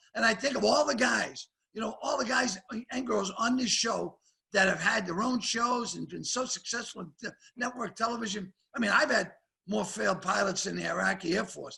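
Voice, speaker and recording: Speaking in a Boston accent, a man raises and projects his high voice at a fairly quick pace with ordinary pitch variation. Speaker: comedian. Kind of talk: casual chat. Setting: video call.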